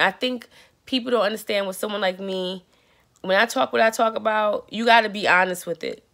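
The background has little sound. The voice belongs to a woman. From West Indian family, raised in Brooklyn, New York. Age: 40s. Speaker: performance artist and vlogger; vlogger. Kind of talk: personal video journal monologue. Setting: hotel room with children in background. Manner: casual, rambling. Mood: reflective, at times frustrated. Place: home room. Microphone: earbuds.

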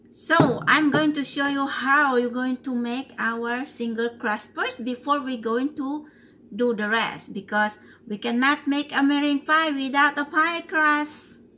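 A woman speaks in a raised, projected voice at a fairly slow pace. Her pitch varies in an ordinary way. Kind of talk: tutorial. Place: kitchen. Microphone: phone near.

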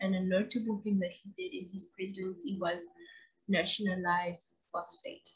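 A somewhat breathy voice moves at a moderate pace against a quiet background. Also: woman. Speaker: video channel host. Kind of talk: educational monologue. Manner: enthusiastic. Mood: casual, light humour. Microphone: webcam.

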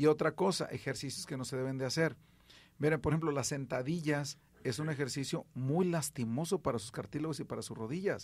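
A man talks at a fairly quick pace in a somewhat breathy voice. His pitch is fairly high, with ordinary variation. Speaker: radio host and rehabilitation physician. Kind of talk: radio health call-in show. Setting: radio studio.

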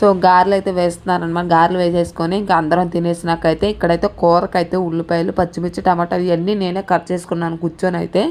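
This is a woman's voice. Its pitch is fairly low. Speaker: village vlogger. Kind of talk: vlog narration. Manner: casual, rambling filler-heavy.

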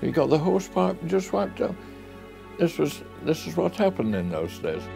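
A man talks with very wide pitch swings. Clear music plays in the background. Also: medium pitch for a man, fairly quick pace. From Sheffield, England. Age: 80s+. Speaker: car and tractor collector. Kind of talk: interview answer. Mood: fond, reminiscing. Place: office.

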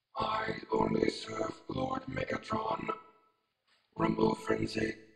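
A man puts on a character voice at a very slow pace. Clear echo follows his words. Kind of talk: fan character voice impression.

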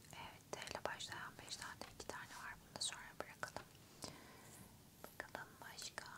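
A woman whispering at a fairly slow pace. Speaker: ASMR creator. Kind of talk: ASMR close-whisper puzzle solving. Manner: whispered, soft, slow. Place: home room. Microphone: studio mic.

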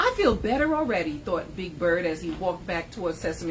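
Simply a natural reading voice

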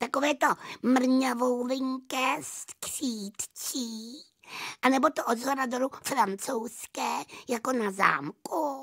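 A man's put-on character voice, extremely high-pitched, with fairly even intonation and a dry, close sound free of echo. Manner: friendly, helpful, questioning.

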